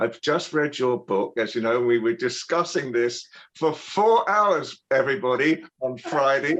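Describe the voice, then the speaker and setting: A man speaks with a British accent at a moderate pace. His fairly high voice has lively intonation. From Britain. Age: 70s. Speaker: TV broadcaster and royal commentator. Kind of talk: interview. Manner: halting, frequent repeats and fillers.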